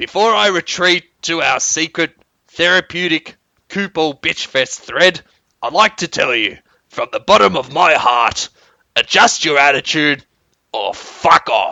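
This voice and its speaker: Adopting a put-on character voice, a man speaks at a fairly slow pace with a fairly high pitch and lively intonation. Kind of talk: grandiose speech. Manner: heroic, grand, dramatic.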